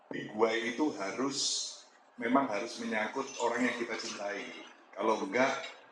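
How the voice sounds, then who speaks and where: Amid noticeable background noise and audible room echo, a man talks at a moderate pace and medium pitch with fairly even intonation. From East Java, Malang. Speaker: restaurant founder, business speaker. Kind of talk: talk to community audience.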